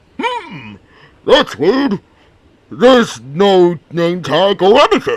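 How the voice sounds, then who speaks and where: Someone puts on a character voice at middle pitch, going at a very slow pace with long, frequent pauses. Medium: solo performance. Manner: upbeat, exclamatory.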